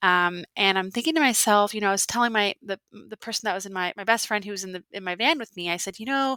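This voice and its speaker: A woman with an American accent speaks very fast at a medium pitch, with a bright, sharp tone, ordinary pitch variation and big swings in loudness, on a very clean recording with a silent background and a dry, close sound with no echo. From Alaska. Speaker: outdoor educator and podcast host. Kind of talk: interview.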